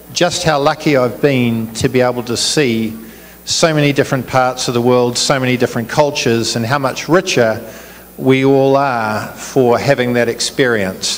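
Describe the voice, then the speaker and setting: Noticeable background noise sits behind speech with fairly even intonation. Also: man, medium pitch for a man, moderate pace. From New Zealand. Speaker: business executive, chief guest. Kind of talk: public speech. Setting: community event with audience.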